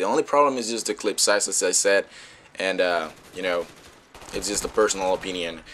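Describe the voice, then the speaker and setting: With a Spanish accent, a man speaks in a bright, sharp tone and lively intonation. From Dominican Republic. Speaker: gaming YouTuber. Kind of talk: gameplay commentary. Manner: halting, many fillers.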